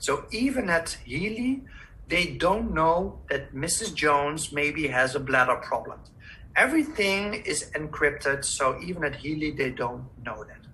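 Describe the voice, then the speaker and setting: A Dutch accent at a fairly slow pace. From Netherlands. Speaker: holistic health practitioner. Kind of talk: webinar presentation. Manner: halting.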